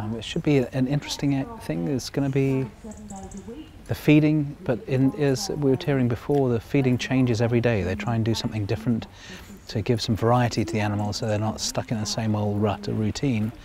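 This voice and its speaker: Over noticeable background noise, a man speaks fairly quickly at a medium pitch with ordinary pitch variation. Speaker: travel presenter. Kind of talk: casual on-location presenting. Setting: outdoors at a zoo. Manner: whispering.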